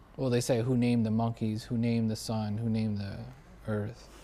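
Long, frequent pauses break up a man's flat, monotone delivery in an American accent, his pitch medium and his tone dark and mellow. Room echo is audible. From US Northeast (Buffalo, New York). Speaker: podcast host and actor. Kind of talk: casual chat.

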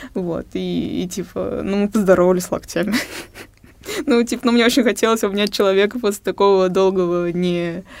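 A woman with a plain, everyday voice talks at a moderate pace. Her pitch is medium and her intonation fairly even. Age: 20s. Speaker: young discussion panelist. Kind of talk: casual discussion. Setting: studio.

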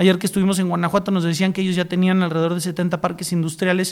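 A very fast, monotone, flat-sounding man with a high pitch. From Mexico, San Luis Potosí. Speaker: podcast host, regional initiative founder. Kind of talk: interview.

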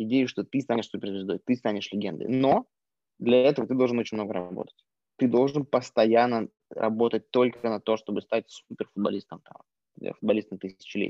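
A man with a normal speaking voice and medium pitch speaks at a moderate pace, his intonation fairly even. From Yakutia, Russia. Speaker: entrepreneur, former tattoo artist. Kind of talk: casual interview conversation. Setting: video call.

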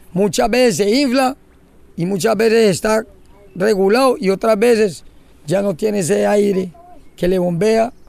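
With noticeable background noise behind him, a high-pitched man speaks fairly slowly at a very even loudness, leaving long, frequent pauses. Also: ordinary pitch variation. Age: old. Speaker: fisherman and environmental leader. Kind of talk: interview testimony.

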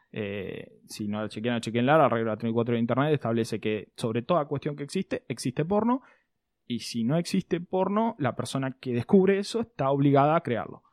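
In a very clean, dry and close recording with no echo and a silent background, a man talks fairly quickly at a medium pitch with lively intonation. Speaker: podcast host. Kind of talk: casual chat.

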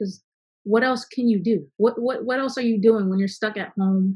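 Here is a woman with an American accent. Her voice is somewhat breathy. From Virginia. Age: young. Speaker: recording engineer and music artist. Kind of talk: group discussion.

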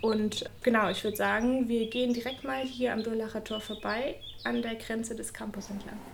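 With noticeable background noise and audible room echo, a woman speaks at a moderate pace. Her voice is fairly high-pitched, with fairly even intonation. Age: 20s. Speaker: doctoral researcher in geography. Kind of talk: interview and campus walking tour. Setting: office and walking outdoors on campus.

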